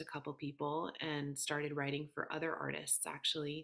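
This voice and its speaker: A woman with an American accent speaks in a very deep, low voice with monotone, flat intonation. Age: 30s. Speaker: singer-songwriter. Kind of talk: interview. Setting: podcast.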